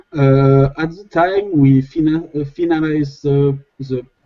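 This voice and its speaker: A man with a fairly high pitch at a very slow pace, music in the background. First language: not English. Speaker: community project developer. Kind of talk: video call update. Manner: halting.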